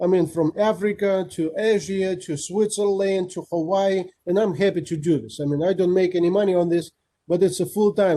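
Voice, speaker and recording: A man speaks with a high pitch and a dark, mellow tone. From Kazakhstan. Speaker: guest speaker, rotarian. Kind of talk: Q&A after presentation. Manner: fast.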